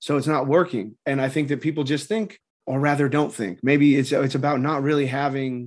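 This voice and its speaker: A man with an American accent talks at a fairly quick pace in an ordinary speaking voice. His pitch is fairly high, and the background is quiet. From Southern California, Orange County. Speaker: formerly incarcerated person. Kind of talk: interview.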